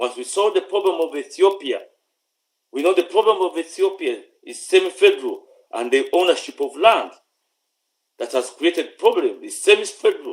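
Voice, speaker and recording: A man talks at a moderate pace. He has a Ugandan accent. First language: Luganda. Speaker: political commentator. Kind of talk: political address. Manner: stammering; repetitive halting.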